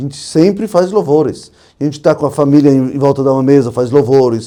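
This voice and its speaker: A man talks at a fairly quick pace in a fairly high pitch, with a dark, mellow tone and ordinary pitch variation. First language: not Portuguese (speaking Portuguese). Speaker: rabbi. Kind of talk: podcast interview.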